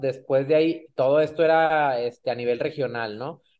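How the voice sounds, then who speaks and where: The man's pitch is fairly high, with ordinary variation. He uses a plain, everyday voice at a moderate pace. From Mexico, Monterrey. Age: 30s. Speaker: racing driver. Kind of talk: interview.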